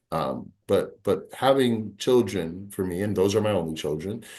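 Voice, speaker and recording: With lively intonation and a fairly low voice, a man talks at a moderate pace. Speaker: peer support specialist. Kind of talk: webinar presentation. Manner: halting, many fillers.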